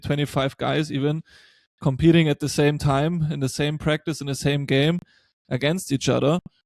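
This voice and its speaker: A man with a German accent talks in a fairly high pitch, his intonation flat and monotone. The sound is dry and close with no echo, on a very clean recording with a silent background. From Germany. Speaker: podcast host. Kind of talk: podcast interview.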